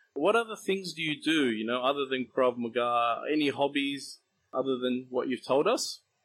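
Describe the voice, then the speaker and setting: Here is a man with a plain, everyday voice and a fairly high pitch. He talks at a moderate pace with lively intonation. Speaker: interviewer, martial arts instructor. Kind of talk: casual interview.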